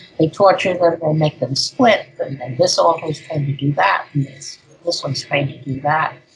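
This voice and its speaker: A woman speaks at a moderate pace with a very deep, low pitch. Her pitch variation is ordinary, and there is noticeable background noise. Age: 80s+. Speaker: ritual abuse survivor. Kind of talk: interview answer.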